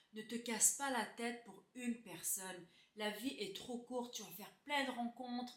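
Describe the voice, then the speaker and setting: Speaking at a fairly slow pace with fairly even intonation, a woman shows big swings in loudness. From Quebec, Laval (Montreal area). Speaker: beauty YouTuber. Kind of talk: casual Q&A chat to camera. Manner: hesitant, many euh fillers.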